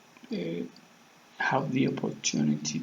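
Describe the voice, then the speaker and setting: Over noticeable background noise, a man speaks with a Spanish accent. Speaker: vlogger practicing English. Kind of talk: casual monologue to camera. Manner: halting, many fillers.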